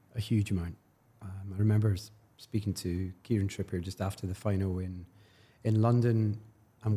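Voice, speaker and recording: A man's fairly low, somewhat breathy voice in a Glaswegian accent, dark and mellow in tone, monotone and flat, at a fairly quick pace, on a very clean recording with a silent background. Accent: Glaswegian Scottish. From Scotland, Glasgow. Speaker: football club commercial executive. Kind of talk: interview.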